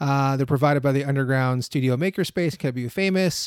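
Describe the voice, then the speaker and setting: This man has an American accent and an unremarkable speaking voice, with a fairly high pitch, ordinary pitch variation and a moderate pace, recorded very cleanly against a silent background with a dry, close sound and no echo. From Florida, US. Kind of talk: casual chat. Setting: studio.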